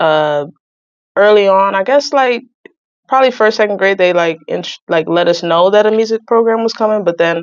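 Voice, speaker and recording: An ordinary speaking voice with an American accent, ordinary pitch variation and a moderate pace. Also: woman. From New Jersey, US. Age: 20s. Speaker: saxophonist and environmental justice advocate. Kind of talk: podcast interview.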